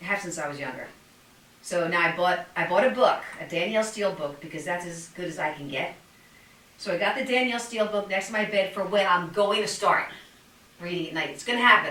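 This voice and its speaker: Amid noticeable background noise and audible room echo, a woman talks at a very fast pace and a medium pitch, with ordinary pitch variation and big swings in loudness. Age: 60s. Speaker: fitness podcast host. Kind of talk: casual chat.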